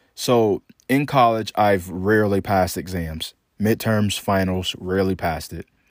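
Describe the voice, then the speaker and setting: Recorded very cleanly against a silent background, with a dry, close sound and no echo, a man uses a plain, everyday voice at a fairly low pitch with ordinary pitch variation. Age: 20s. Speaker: podcast host. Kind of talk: solo monologue.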